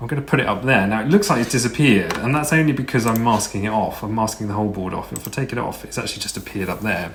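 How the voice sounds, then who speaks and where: Noticeable background noise accompanies a man of medium pitch speaking with ordinary pitch variation. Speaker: video editor / Eurovision channel creator. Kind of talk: screen-recorded software tutorial. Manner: casual, hesitant.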